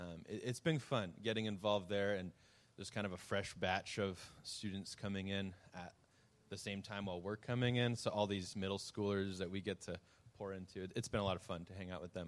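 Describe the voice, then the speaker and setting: Speaking at a fairly quick pace, a man uses a normal speaking voice with fairly low pitch and fairly even intonation. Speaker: youth ministry worker. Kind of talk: ministry update presentation.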